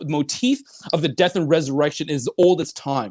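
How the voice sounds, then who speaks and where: A man's animated voice at a fairly high pitch with ordinary pitch variation. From Northern California, raised from childhood by Chinese immigrant parents. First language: Chinese. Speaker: life coach and author. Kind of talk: interview.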